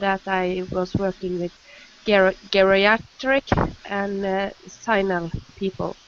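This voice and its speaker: A woman with a Norwegian accent speaks at a very slow pace in a medium pitch, with noticeable background noise behind her. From Norway. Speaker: nurse. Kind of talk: panel discussion.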